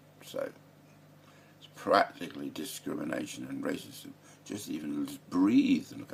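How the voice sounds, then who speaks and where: The speaker is a man with an English accent. His delivery moves at a moderate pace. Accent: English, close to Queen's English. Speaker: political commentator vlogger. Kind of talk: casual monologue. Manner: halting, many fillers.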